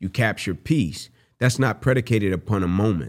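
In a very clean recording with a silent background, a normal speaking voice talks at a fairly quick pace. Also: man. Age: 30s. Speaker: podcast co-host and motivational speaker. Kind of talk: casual chat.

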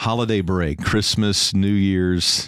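A man speaks in a raspy voice. The recording is very clean, with a silent background. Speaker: pastor. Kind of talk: casual chat.

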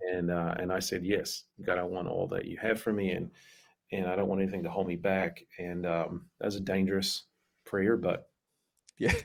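With a New Zealand accent, a man speaks at a moderate pace in a very deep, low pitch and monotone, flat intonation, leaving long, frequent pauses on a very clean recording with a silent background. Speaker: pastor. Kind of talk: casual interview chat.

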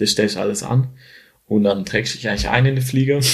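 The speaker is a man. Pitch moves in an ordinary amount across his speech. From Switzerland, near Schaffhausen. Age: 20s. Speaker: photographer and videographer. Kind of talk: casual interview.

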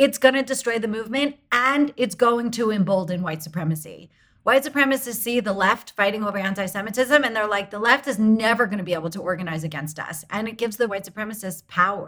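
Talking very fast with hardly any pauses, a woman speaks at a fairly high pitch with lively intonation. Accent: American. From United States. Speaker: advocacy group founder, former lawyer. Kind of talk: interview.

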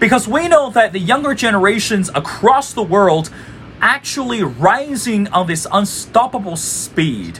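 Over noticeable background noise, a man talks at a fairly slow pace in a high pitch with very wide pitch swings. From China, Beijing. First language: Chinese. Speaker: podcast host. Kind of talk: interview.

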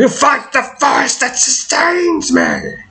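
A put-on character voice with a high pitch goes at a fairly slow pace. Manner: menacing, defiant.

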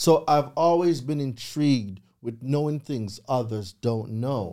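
A man with a Jamaican accent speaks in a dark, mellow tone, with ordinary pitch variation. His pace is fairly slow, and the recording is very clean with a silent background. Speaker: credit repair consultant. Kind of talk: interview. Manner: animated.

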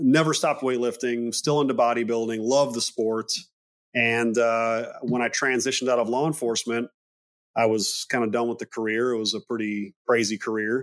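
A man has a normal speaking voice at a medium pitch. He keeps a moderate pace and fairly even intonation. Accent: American. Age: 30s. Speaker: men's health clinic CEO, former police officer. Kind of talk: interview.

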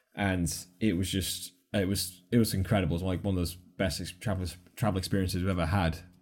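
A very deep, low male voice, somewhat breathy, fairly quick and monotone with flat intonation. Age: 30s. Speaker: travel YouTuber and adventurer. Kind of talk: casual interview chat. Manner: fast.

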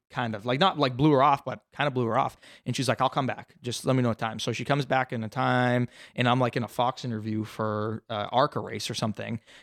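Delivered very fast with fairly even intonation, the speech comes through a very clean recording with a silent background and a dry, close sound with no echo. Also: man, medium pitch for a man. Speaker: race car driver. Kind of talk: casual chat.

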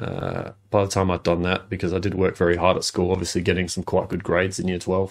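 A man with a very deep, low pitch speaks in a monotone, flat way. The recording is very clean, with a silent background. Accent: Australian. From Adelaide, South Australia. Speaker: former junior footballer. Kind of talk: interview.

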